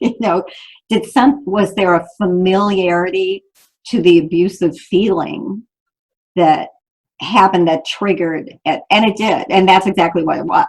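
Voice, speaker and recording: At a moderate pace, a woman with a normal speaking voice speaks at medium pitch with ordinary pitch variation. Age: 60s. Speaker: author and abuse survivor. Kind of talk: interview.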